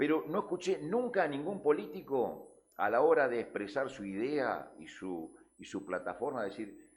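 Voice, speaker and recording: At a fairly slow pace, a man speaks with vocal fry at a fairly high pitch, with very wide pitch swings and big swings in loudness. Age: 60s. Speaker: news show panelist. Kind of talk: heated debate. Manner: animated; halting.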